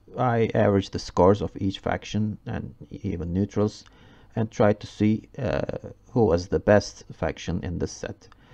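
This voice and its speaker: A man with a non-native accent and a dark, mellow tone talks at a fairly slow pace, his pitch fairly low and ordinary in its variation. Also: long, frequent pauses. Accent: non-native English pronunciation. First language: Turkish. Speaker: gaming YouTuber. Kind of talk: game review commentary. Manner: halting, many fillers.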